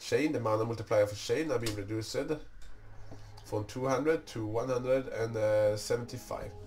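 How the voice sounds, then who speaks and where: Over music in the background, a man speaks at a moderate pace in a medium pitch with fairly even intonation. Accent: non-native. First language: not English. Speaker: gaming YouTuber. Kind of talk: tutorial. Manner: halting.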